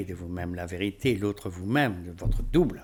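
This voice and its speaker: The intonation is lively on a very clean recording with a silent background. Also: man. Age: 70s. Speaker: spiritual teacher. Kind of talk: rant to camera. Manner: animated.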